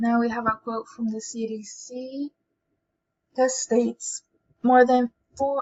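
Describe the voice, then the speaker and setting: With an American accent, a woman speaks at a high pitch and a fairly slow pace. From US South, New Orleans, Louisiana. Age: 20s. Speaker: student. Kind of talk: student presentation.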